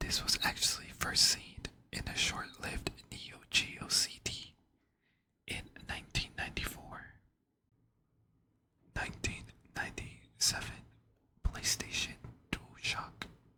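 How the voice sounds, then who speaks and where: Whispering at a fairly slow pace, broken by long, frequent pauses. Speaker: ASMR content creator. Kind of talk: ASMR whisper narration for sleep, controller history. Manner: whispered, soft.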